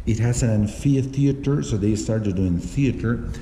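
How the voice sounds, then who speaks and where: The speaker has a Spanish accent, with audible room echo and noticeable background noise in the recording. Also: man. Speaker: travel vlogger. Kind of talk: vlog tour explanation. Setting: inside a museum. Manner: halting, many fillers.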